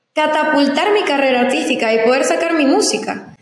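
The intonation is lively, and audible room echo surrounds the voice. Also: woman. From Venezuela, Zulia (Maracaibo area). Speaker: influencer and singer. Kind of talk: interview.

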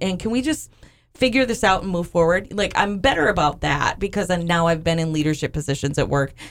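With a normal speaking voice, a woman talks at a fairly low pitch using lively intonation. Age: 40s. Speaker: podcast co-host. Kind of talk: casual chat.

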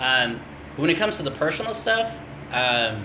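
Noticeable background noise and audible room echo accompany a man with an American accent, speaking at a moderate pace with lively intonation. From California. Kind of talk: casual chat. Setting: studio. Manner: halting, many fillers.

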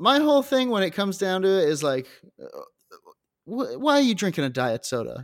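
A man with a high pitch speaks at a fairly quick pace, his pitch swinging very widely. Long, frequent pauses break up his speech. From Scotland, moved to US around age ten. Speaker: podcast co-host. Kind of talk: casual comedic chat. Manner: animated, laughing often.

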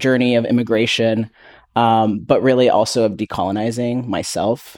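In a very clean recording with a silent background, a man talks at a moderate pace in an unremarkable speaking voice of medium pitch. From Canada. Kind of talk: panel discussion.

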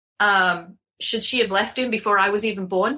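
A woman with an English accent, medium pitch, a bright, sharp tone, ordinary pitch variation and a moderate pace. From England. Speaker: confidence coach. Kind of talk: casual chat.

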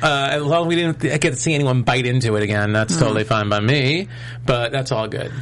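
A man with an American accent talks at a very fast pace, showing ordinary pitch variation over noticeable background noise. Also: medium pitch for a man. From New York. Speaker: tv after-show host. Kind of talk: casual chat. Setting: studio.

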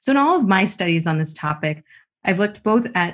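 A woman talks in a Canadian accent with a somewhat breathy voice. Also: quiet background. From Canada. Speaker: business school professor. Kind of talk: interview.

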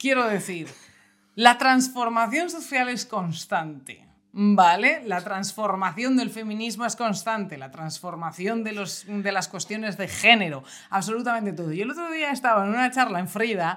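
A woman speaks at a moderate pace with a fairly high pitch. Her intonation is lively, and her loudness swings widely. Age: 30s. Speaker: podcast co-host. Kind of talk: casual chat. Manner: animated.

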